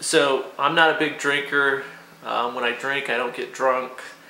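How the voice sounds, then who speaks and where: In a room with audible echo and light background noise, a man speaks with fairly even intonation. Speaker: product reviewer. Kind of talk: casual vlog chat. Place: kitchen. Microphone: phone near.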